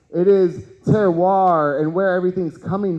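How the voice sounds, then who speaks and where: A loud, high-pitched male voice at a fairly slow pace. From Texas, Houston. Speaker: cannabis educator and event host. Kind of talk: conference talk. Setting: stage with audience. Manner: animated.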